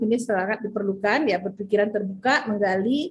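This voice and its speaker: A woman with a fairly high, somewhat breathy voice talks at a fairly quick pace. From West Sumatra, Padang Panjang. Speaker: business leader giving a talk. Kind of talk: presentation with slides.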